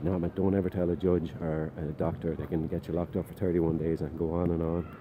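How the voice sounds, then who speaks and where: A man with a very deep, low pitch and an Irish accent, talking at a very fast pace. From Ireland. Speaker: vlogger. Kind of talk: personal testimony. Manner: casual, animated storytelling.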